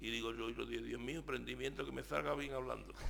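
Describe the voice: At a very fast pace, a man talks with very even loudness.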